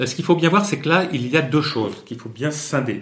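A man's somewhat breathy voice, with ordinary pitch variation, carries audible room echo. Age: 60s. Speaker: Brazil expert and communication consultant. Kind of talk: interview. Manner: halting with frequent hesitations.

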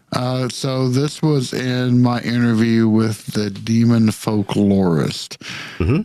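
Over noticeable background noise, a man speaks very slowly at medium pitch with ordinary pitch variation and very even loudness. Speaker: podcast co-host. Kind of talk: casual chat.

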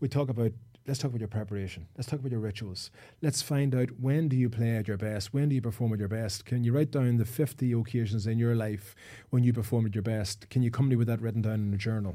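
Speaking very fast, a man with an Irish accent has a medium pitch and a dark, mellow tone. The recording is very clean, with a silent background. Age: 40s. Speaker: sports psychologist and former footballer. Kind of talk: casual chat. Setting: studio.

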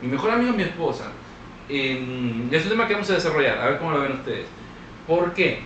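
His intonation is lively. This man's voice sits high in pitch. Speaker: podcast co-host. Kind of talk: casual chat.

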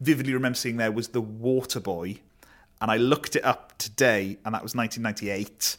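A man speaks with a South Wales accent at a medium pitch. His pace is very fast. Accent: Welsh (South Wales). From Wales (Neath). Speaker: comedian and comedy writer. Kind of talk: casual chat.

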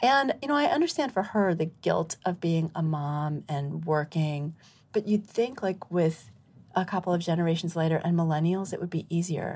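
Lively intonation carries a somewhat breathy voice. The recording is very clean with a silent background. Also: woman, fairly low pitch for a woman, moderate pace. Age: 50s. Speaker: midwife and medical doctor. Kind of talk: interview conversation. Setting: live recording venue.

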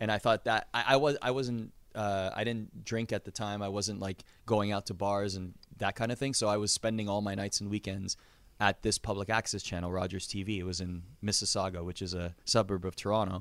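A man with an unremarkable speaking voice and a Canadian accent, fairly low in pitch, fairly quick in pace, with fairly even intonation, in a very clean recording with a silent background. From Canada. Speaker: wrestling announcer. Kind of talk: casual interview.

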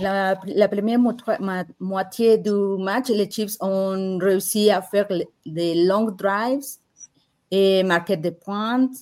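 A woman's medium-pitched voice with a dark, mellow tone and a Mexican accent, ordinary pitch variation, at a very slow pace. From Mexico. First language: Spanish (speaking French). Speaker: football fan and podcaster. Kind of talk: casual chat. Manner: halting, repeats words.

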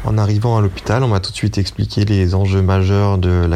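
Over noticeable background noise, a man talks in a very deep, low pitch. His pace is moderate and his intonation fairly even. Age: 30s. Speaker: dentist volunteering in hospital. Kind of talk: testimony. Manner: halting.

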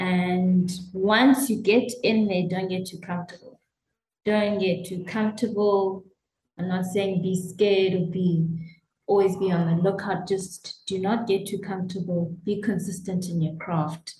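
A woman with a dark, mellow tone and a somewhat breathy voice talks at a fairly slow pace with fairly even intonation. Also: medium pitch for a woman. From South Africa. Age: 30s. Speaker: winemaker. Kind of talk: interview.

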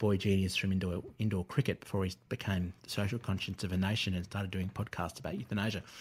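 Heard on a very clean recording with a silent background, a man with an Australian accent and a fairly low pitch speaks very fast. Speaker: writer and former radio presenter.

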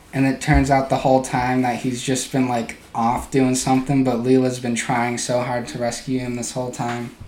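Amid noticeable background noise, a man of medium pitch speaks at a moderate pace in a monotone, flat way with hardly any pauses. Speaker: podcast co-host. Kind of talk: casual comedic banter.

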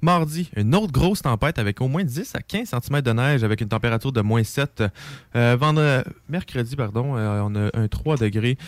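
On a very clean recording with a silent background, a man with a plain, everyday voice talks at a moderate pace and medium pitch with lively intonation, the sound dry and close with no echo. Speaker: radio co-host. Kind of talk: casual chat.

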